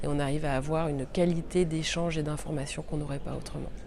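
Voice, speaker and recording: A woman speaks at a fairly quick pace with a very deep, low pitch. Audible room echo and noticeable background noise surround her. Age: 40s. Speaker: journalist and podcaster. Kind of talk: interview answers. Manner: hesitant, many fillers.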